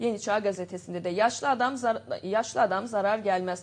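At a moderate pace, a woman talks in a plain, everyday voice whose pitch varies in an ordinary way. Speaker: TV show host. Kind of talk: news show, reading headlines and interviewing. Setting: studio. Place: studio.

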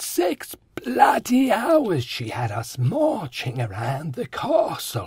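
The pitch swings very widely and the loudness rises and falls sharply, all at a very slow pace. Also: man, high pitch for a man. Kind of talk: comic sitcom acting. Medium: audio drama.

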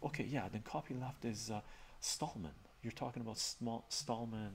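A man speaks softly. Light background noise can be heard. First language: Armenian. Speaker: live streamer. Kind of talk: casual chat. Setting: live stream. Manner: soft-spoken. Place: home room.

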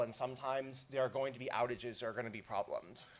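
A man rattles off his words at a very fast pace. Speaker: conference keynote speaker. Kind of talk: lecture. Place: hall. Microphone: podium.

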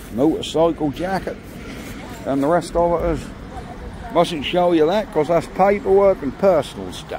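The tone is relaxed, with ordinary pitch variation and a fairly slow pace. The sound is dry with no echo, though background noise is noticeable. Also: man, high pitch for a man. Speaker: video creator walking round a market. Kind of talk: casual walk-around commentary, vlog. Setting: outdoors at an auction, filming. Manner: chatty, relaxed, rattling off lot lists. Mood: cheerful, enthusiastic. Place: market. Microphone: phone near.

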